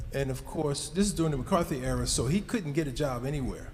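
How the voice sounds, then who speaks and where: A man with an American accent at a very fast pace, with audible room echo and noticeable background noise. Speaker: speaker at a community event. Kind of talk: public remarks to an audience.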